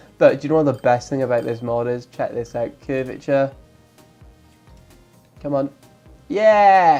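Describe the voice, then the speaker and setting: Fairly slow speech broken by long, frequent pauses, with music in the background. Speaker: gaming YouTuber. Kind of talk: let's play game commentary. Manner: casual, chatty.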